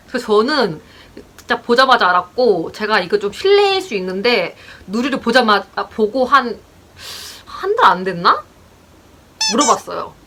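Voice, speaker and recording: Against noticeable background noise, a woman speaks at a moderate pace, leaving long, frequent pauses. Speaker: couple vlogger. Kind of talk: casual chat. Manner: halting.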